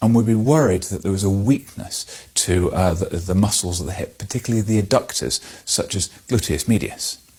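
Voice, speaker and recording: Calm and somewhat breathy, the voice has ordinary pitch variation on a very clean recording with a silent background. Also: man, fairly low pitch for a man. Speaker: clinical examiner or medical educator demonstrating a hip examination. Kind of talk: clinical teaching demonstration. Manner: calm, explanatory.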